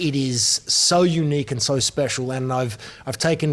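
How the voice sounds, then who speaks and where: A man's fairly high pitch in an Australian accent. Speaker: football broadcaster. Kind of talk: casual chat. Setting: restaurant.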